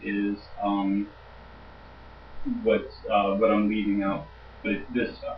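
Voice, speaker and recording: In a room with audible echo, a man talks at a moderate pace. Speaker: logic instructor. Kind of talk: lecture. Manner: halting.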